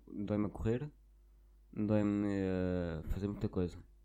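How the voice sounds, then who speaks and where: Speaking at a fairly slow pace, a man has a dark, mellow tone and a European Portuguese accent. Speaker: podcaster. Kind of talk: casual monologue. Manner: halting.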